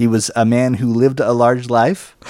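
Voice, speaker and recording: A man speaks fairly slowly at medium pitch. He has a normal speaking voice. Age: 40s. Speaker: podcast host. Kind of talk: casual banter, comedic chat.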